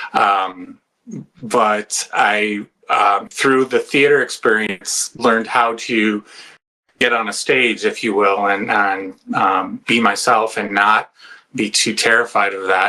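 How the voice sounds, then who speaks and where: Speaking at a very slow pace, a man with an American accent has a fairly low pitch, a bright, sharp tone and fairly even intonation. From US Midwest, Chicago suburbs. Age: 60s. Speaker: retired nurse and Navy veteran. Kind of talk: interview. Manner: hesitant, many fillers.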